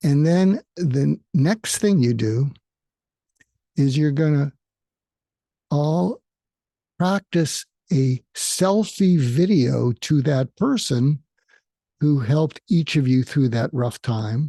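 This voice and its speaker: A man's fairly high-pitched, somewhat breathy voice, dark and mellow in tone, at a very slow pace with long, frequent pauses, in a dry, close sound with no echo. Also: lively intonation. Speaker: psychiatrist and podcast host. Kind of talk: solo podcast monologue.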